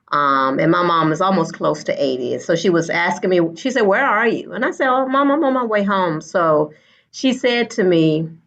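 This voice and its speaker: A woman speaks in an unremarkable speaking voice, fairly low in pitch. The background is quiet. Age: 50s. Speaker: school educator. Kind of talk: panel discussion.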